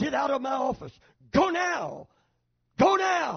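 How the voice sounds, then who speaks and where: A man puts on a shrill character voice at an extremely high pitch. He projects it loudly at a fairly slow pace. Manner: agitated, raised volume.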